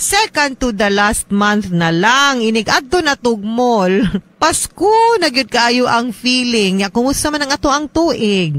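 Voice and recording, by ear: A woman with a fairly high pitch and fairly bright tone speaks at a fairly slow pace with lively intonation and few pauses.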